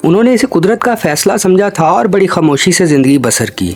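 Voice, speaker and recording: Over music in the background, a man's pitch swings very widely. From Pakistan. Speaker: actor; horror storyteller. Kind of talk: horror story narration.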